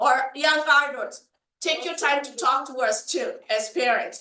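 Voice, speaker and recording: Very slow and raised, projected, the voice has a bright, sharp tone and lively intonation. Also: woman. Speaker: community panelist, parent. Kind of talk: panel discussion. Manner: animated.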